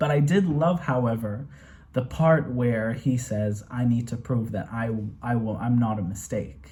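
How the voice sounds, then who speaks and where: Speaking at a fairly slow pace, a man has a somewhat breathy voice and a dark, mellow tone. His pitch varies in an ordinary way, and the room echo is audible. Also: medium pitch for a man. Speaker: movie reaction youtuber. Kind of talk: casual review monologue. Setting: home bedroom. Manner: animated; stuttering at times.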